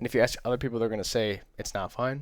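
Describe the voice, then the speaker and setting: This man talks at a very fast pace. His pitch sits in the medium range with ordinary variation. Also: very clean recording, silent background. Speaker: trading vlogger. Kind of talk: casual talk to camera.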